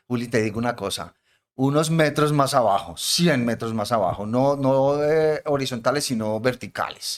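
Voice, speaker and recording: This is a plain, everyday voice at a moderate pace. Its pitch variation is ordinary. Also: man. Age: 60s. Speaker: podcast host, professor. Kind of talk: casual chat.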